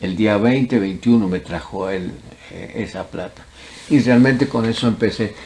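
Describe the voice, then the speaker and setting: Noticeable background noise sits behind a man speaking at a fairly slow pace and medium pitch. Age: 80s+. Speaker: former student. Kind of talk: oral history interview.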